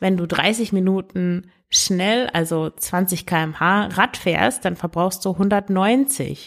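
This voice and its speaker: On a very clean recording with a silent background, a woman speaks. Her pitch is medium, with ordinary pitch variation. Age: 30s. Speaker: podcast host and eating coach. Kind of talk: solo podcast advice talk.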